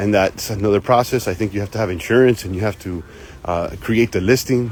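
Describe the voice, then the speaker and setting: Someone talks at a very fast pace with ordinary pitch variation while crowd noise carries in the background. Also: man. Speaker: online reseller hosting live Q&A stream. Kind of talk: live stream Q&A. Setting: live video stream. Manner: stutters, hesitant repetitions; energetic, hyped.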